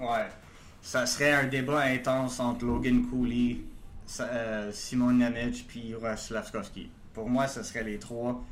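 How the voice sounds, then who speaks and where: Against audible room echo, a man talks at a very slow pace in a monotone, flat intonation with a medium pitch. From Quebec, Laval. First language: not French (speaking French). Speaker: hockey prospects analyst. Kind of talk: casual chat. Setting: video call.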